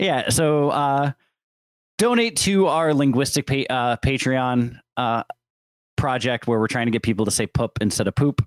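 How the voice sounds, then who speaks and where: On a very clean, dry, close recording with no echo and a silent background, a man with an American accent talks at a moderate pace. He has an unremarkable speaking voice at a medium pitch, with ordinary pitch variation. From Syracuse, New York. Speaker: podcast co-host. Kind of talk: casual chat.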